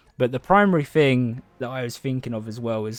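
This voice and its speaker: A man's medium-pitched voice comes through at a moderate pace. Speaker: gaming content creator. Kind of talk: casual chat. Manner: monotone; halting.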